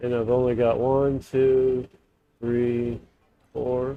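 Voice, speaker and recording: A man at a medium pitch and a very slow pace. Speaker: gaming streamer. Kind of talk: gameplay livestream commentary. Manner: quiet, trying to talk louder; halting, many fillers.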